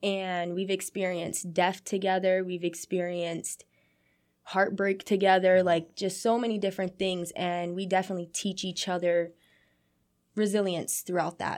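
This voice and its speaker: Her intonation is monotone and flat. The woman talks at medium pitch and a moderate pace. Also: very clean recording, silent background. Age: 20s. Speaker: youth program director. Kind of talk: interview. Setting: studio.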